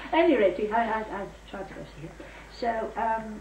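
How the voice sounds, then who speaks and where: Amid noticeable background noise, a woman speaks in a fairly high pitch. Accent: Yorkshire. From Yorkshire, England. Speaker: war-era memoirist. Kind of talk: reminiscence, casual family storytelling.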